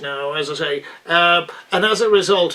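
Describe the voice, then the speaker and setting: Noticeable background noise accompanies a man speaking at a high pitch with an Irish accent. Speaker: interview host. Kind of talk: interview questions.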